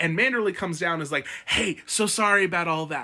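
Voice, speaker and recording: A man's raised, projected voice at a fairly quick pace. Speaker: book commentary youtuber. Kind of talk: casual ranking commentary. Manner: fast; animated.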